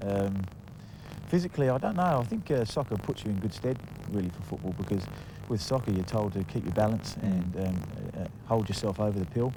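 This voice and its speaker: With a slight English accent, a man speaks at fairly low pitch with ordinary pitch variation and long, frequent pauses. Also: fairly quick pace. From England. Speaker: footballer. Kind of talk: interview. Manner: halting, many fillers.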